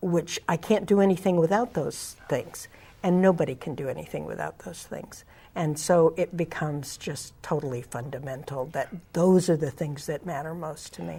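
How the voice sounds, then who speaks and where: A woman with an American accent speaks at a very deep, low pitch and a moderate pace, somewhat breathy and with a dark, mellow tone. Her loudness swings widely, and her pitch variation is ordinary. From California Central Valley, Tulare County. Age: 60s. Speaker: community organizer. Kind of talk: interview. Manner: halting.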